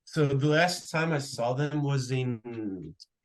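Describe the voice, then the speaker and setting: A man is speaking. He has a Portuguese accent. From Brazil (Pará). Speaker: college soccer player. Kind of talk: interview. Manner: halting.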